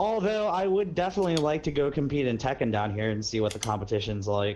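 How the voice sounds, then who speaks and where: A man with an American accent speaks at a very fast pace. His fairly high pitch swings very widely. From Missouri. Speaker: gaming streamer. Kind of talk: casual chat.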